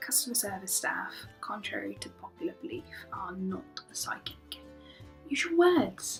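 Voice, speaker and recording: Someone with a British accent speaks at a fairly slow pace while music plays in the background. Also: woman. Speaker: customer service worker. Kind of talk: vlog rant to camera.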